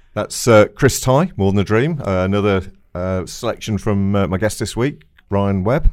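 A man's fairly low voice at a moderate pace, an ordinary speaking voice with ordinary pitch variation. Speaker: radio host and promoter. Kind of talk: casual radio interview. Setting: radio studio.

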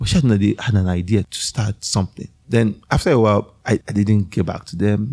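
This man talks at a fairly quick pace with a fairly low pitch. His tone is dark and mellow. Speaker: tech entrepreneur. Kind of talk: casual interview.

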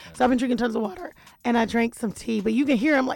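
A woman's put-on character voice, raspy and hoarse, fairly high in pitch, at a very fast pace.

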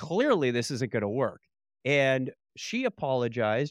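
A man with an American accent, a normal speaking voice, medium pitch and lively intonation, on a very clean recording with a silent background. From Upper Michigan, Marquette. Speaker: technology platform expert. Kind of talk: casual interview.

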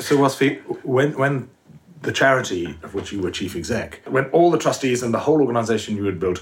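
The man's voice sounds somewhat breathy. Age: 60s. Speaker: podcast co-host. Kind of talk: interview.

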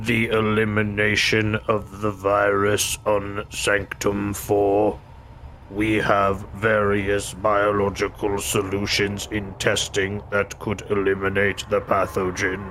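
Using a put-on character voice, a man talks at a fairly slow pace and fairly low pitch, with monotone, flat intonation, very even loudness and clear background noise. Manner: flat, obedient.

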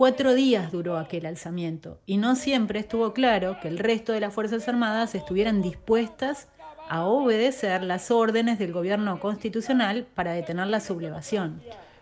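Noticeable background noise behind a woman's fairly high voice, hardly any pauses, and ordinary pitch variation. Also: moderate pace. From Argentina, southern Entre Ríos. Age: 40s. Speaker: podcast host. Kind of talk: scripted narration.

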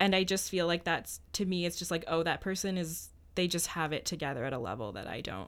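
Speaking with a Canadian accent, a woman uses a fairly low pitch with vocal fry, ordinary pitch variation and a fairly quick pace on a very clean recording with a silent background. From Ottawa, Ontario, Canada. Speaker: law student podcast co-host. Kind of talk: casual chat. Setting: studio.

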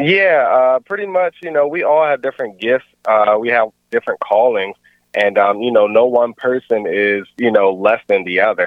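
This man has a plain, everyday voice at medium pitch, with lively intonation and an American accent. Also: moderate pace. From Maryland, Baltimore area. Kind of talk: casual interview.

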